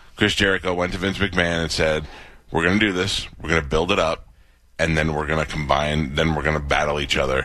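A man's very deep, low voice with an American accent, fairly even intonation and a fairly quick pace. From New York. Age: 50s. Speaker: radio host. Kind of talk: casual chat.

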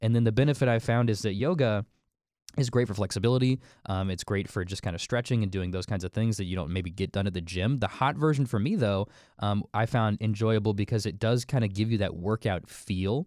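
A man with an ordinary speaking voice talks at a fairly quick pace, his pitch fairly low and varying in an ordinary way, on a very clean recording with a silent background. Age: 20s. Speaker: podcast host, father. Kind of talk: casual chat.

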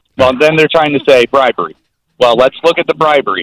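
The recording has a dry, close sound with no echo. A man with an American accent speaks at a fairly high pitch. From New Jersey. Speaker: caller. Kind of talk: call-in political argument.

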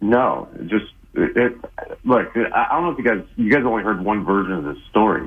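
A man speaks with an unremarkable speaking voice at a medium pitch, a moderate pace, and lively intonation. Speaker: caller. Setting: phone call.

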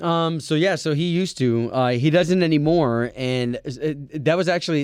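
A man's fairly high pitch with ordinary variation, a normal speaking voice, and a quiet background. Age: 30s. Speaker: radio host. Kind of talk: casual chat.

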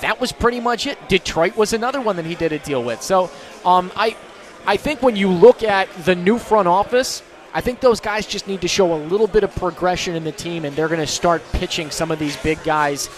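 A man talks in an animated tone at a fairly quick pace, high in pitch with lively intonation. Noticeable background noise is present. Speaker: sports radio host. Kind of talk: live sports radio show patter, remote broadcast from a bar. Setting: radio studio broadcast on location at a restaurant. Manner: fast, animated, punchy talker promoting phone and text lines between segments.

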